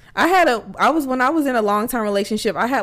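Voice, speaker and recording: Speaking very fast, a woman delivers her words in an animated tone with lively intonation. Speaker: podcast co-host. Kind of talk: casual chat. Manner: animated, casual.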